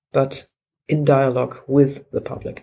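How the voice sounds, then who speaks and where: Speech comes at a fairly slow pace. It is delivered with a German accent. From Germany. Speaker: historian of technology. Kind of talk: interview.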